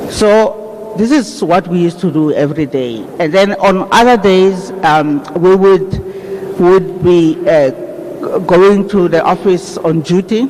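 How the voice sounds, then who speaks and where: Amid noticeable background noise, a man with a high pitch speaks at a very slow pace. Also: ordinary pitch variation. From South Africa, raised in exile in Zambia. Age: 60s. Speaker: funeral speaker. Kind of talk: eulogy. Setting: funeral service.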